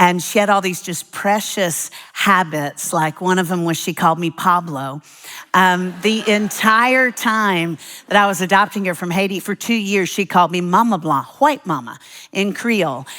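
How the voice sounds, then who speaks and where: A woman's bright, sharp, animated voice with ordinary pitch variation. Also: medium pitch for a woman, moderate pace. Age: 60s. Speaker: preacher. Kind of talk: sermon.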